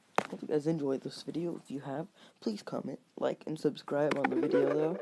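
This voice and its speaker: Noticeable noise sits in the background. The speaker moves along at a fairly quick clip. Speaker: gaming YouTuber. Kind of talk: tutorial.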